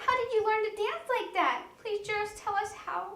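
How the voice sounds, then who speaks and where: With slight echo, a woman uses a squeaky, put-on character voice of extremely high pitch at a moderate pace. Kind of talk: children's storytime reading. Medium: read story.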